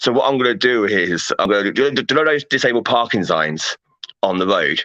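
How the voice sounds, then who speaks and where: A man's voice carries vocal fry, recorded with a dry, close sound and no echo. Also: medium pitch for a man. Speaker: paranormal meme group owner. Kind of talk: casual chat. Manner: halting, repetitive.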